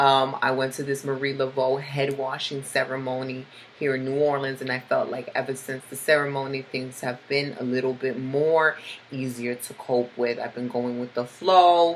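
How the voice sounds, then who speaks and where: The intonation is monotone and flat. Noticeable background noise sits behind the voice. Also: woman, very deep, low pitch for a woman, moderate pace. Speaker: tarot reader. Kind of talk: tarot forecast monologue.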